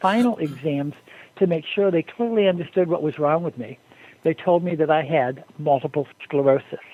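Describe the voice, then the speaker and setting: A man talks with an unremarkable speaking voice at a moderate speed. His voice sits fairly high, and its pitch varies in an ordinary way. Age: 60s. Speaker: guest with a health recovery story. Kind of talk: testimony. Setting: phone call.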